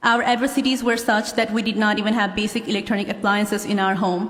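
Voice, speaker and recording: A woman's fairly high voice with a Nepali accent at a fairly quick pace, amid noticeable background noise and audible room echo. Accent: Nepali accent, self-described. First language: Nepali (English is second language). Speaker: law graduate. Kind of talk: commencement speech. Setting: stage with audience.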